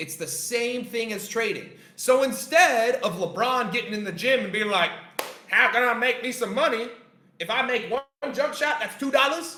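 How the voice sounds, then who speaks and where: Extremely high in pitch, a man's raised, projected voice carries an animated tone at a moderate pace amid audible room echo and noticeable background noise. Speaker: trading coach. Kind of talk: lecture. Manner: loud.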